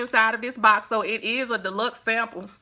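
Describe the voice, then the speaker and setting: This voice carries a Southern US accent and a bright, sharp tone. It moves at a fairly quick pace. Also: woman. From US South. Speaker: beauty vlogger. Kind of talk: product review. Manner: chatty.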